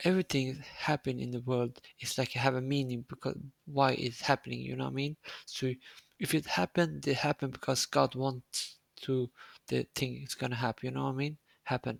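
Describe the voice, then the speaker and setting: Recorded with a dry, close sound and no echo, a man with a non-native accent speaks at medium pitch and a fairly quick pace, his intonation fairly even. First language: Swedish. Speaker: streamer. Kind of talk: casual chat. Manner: halting.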